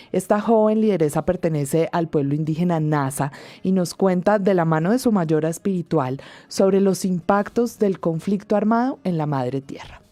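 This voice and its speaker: Against a quiet background, a woman speaks at a moderate pace in a dark, mellow, fairly low voice with ordinary pitch variation. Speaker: radio host. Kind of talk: scripted radio presenting.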